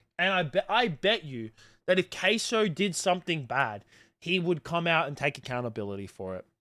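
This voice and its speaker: A man's high-pitched, bright, sharp voice in an Australian accent, animated and full of very wide pitch swings, at a moderate pace with long, frequent pauses, on a very clean recording over a silent background. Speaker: live streamer. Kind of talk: livestream commentary to chat. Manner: casual, animated ranting.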